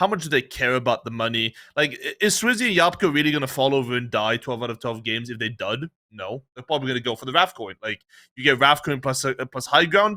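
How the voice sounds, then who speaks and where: A man's very fast, animated delivery in a bright, sharp tone, with dry, close sound with no echo on a very clean recording with a silent background. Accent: Dutch. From Netherlands. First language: Dutch. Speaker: esports podcast co-host. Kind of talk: casual chat.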